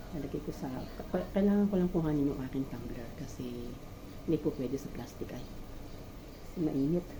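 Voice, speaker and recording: Through audible room echo and noticeable background noise, a woman with a very deep, low pitch speaks with long, frequent pauses. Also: ordinary pitch variation, fairly quick pace. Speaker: vlogger. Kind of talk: casual cooking vlog monologue. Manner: halting, many fillers.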